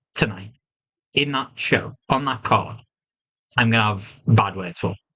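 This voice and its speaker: Speaking at a fairly slow pace, a man with a British accent has a medium pitch. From UK. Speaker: wrestling reviewer. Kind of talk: solo review monologue. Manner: animated.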